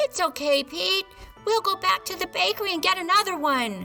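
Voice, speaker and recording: A squeaky, put-on character voice from a woman, extremely high in pitch, at a moderate pace over clear background music. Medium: read story. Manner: warm, kind.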